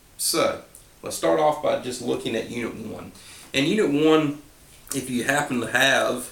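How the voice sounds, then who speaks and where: A relaxed man with an American accent, plus audible room echo. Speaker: civics teacher. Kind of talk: review lecture. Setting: at home. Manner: relaxed, informal.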